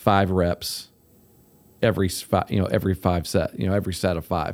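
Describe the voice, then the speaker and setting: A man's fairly low pitch in a normal speaking voice, moderate pace, in a very clean recording with a silent background. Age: 40s. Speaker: podcast host, coach. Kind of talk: casual chat.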